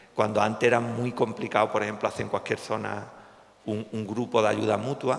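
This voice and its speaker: Words tumble out at a very fast pace in a Cádiz Andalusian accent, the intonation monotone and flat. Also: man. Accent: Cádiz Andalusian accent, noticeable. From Cádiz, Andalusia, Spain. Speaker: psychologist, suicide prevention association president. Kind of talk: public talk. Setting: hall with audience. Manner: hesitant, with fillers and false starts.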